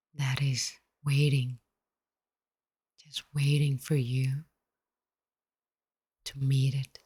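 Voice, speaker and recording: A soft-spoken woman with a very deep, low voice talks very slowly, somewhat breathy and calm, in a dark, mellow tone with flat, monotone intonation. Long, frequent pauses break her speech, and the sound is dry and close with no echo. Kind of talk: soft-spoken ASMR meditation talk. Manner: soft-spoken, calm.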